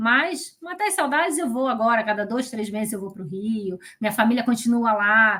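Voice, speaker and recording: A woman speaks with lively intonation. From Brazil, Rio de Janeiro. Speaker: entrepreneur. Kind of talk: interview.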